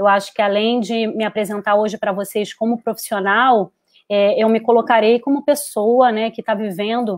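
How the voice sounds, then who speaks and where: In a dry, close sound with no echo, a woman speaks in a Carioca accent at a fairly high pitch, with fairly even intonation and a moderate pace. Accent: Carioca (Rio de Janeiro). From Rio de Janeiro, Brazil. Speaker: psychologist. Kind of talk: webinar talk. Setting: online live stream.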